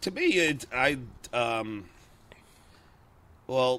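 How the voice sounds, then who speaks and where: The speaker has an American accent. The tone is bright and sharp. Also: man. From New York, Long Island. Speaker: radio and TV personality, comedian. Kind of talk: interview answer, telling stories. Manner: stuttering, hesitant, conversational. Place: garden. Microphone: handheld.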